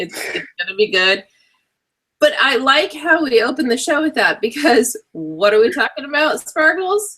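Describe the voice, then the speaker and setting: Raised and projected, a woman's high, bright, sharp voice has an animated tone and very wide pitch swings. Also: moderate pace. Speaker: web show co-host. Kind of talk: casual chat.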